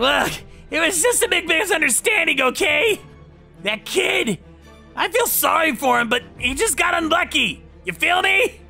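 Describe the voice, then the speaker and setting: Clear music sits behind the voice. The delivery keeps a moderate speed. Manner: cocky, then panicked pleading.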